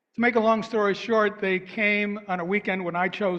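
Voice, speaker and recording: This man speaks at a moderate pace. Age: 70s. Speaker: minister. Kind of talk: sermon.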